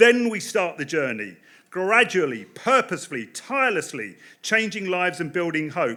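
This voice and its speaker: A man's high voice in a bright, sharp tone, with very wide pitch swings. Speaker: political campaign director. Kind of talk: political speech. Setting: stage with audience. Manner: fast.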